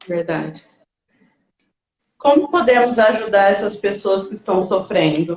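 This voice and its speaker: A woman with a medium pitch talks fairly slowly, pausing long and often, with ordinary pitch variation. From interior of São Paulo, Brazil. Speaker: grief counselor. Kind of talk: online panel conversation.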